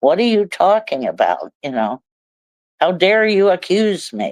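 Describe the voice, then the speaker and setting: A woman with a Midwestern American accent speaks with lively intonation. The sound is dry and close, with no echo. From Ohio, USA. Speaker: recovering alcoholic. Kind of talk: interview answer. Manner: humorous.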